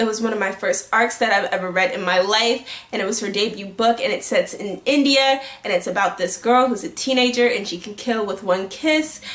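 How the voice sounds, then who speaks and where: The tone is animated, with ordinary pitch variation. Noticeable background noise runs underneath. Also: woman. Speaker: book youtuber. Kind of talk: casual vlog talk. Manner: fast.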